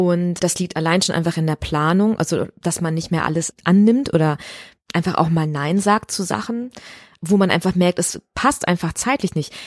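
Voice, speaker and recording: In a very clean recording with a silent background and a dry, close sound with no echo, a woman with a fairly low pitch uses a normal speaking voice at a moderate pace with ordinary pitch variation. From Ruhr area, Germany (Recklinghausen). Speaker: musical theatre performer. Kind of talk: casual interview. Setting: dressing room in an opera house.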